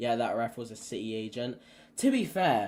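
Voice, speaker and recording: A man with an English accent talks on a very clean recording with a silent background. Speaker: football fan youtuber. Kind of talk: live stream match reaction. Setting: live stream. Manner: animated, excited.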